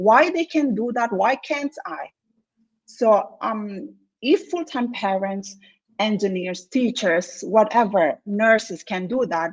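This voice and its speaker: A woman's fairly high voice with lively intonation, at a very slow pace. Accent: non-native. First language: not English. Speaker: engineer turned online entrepreneur. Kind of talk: interview testimony. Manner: halting.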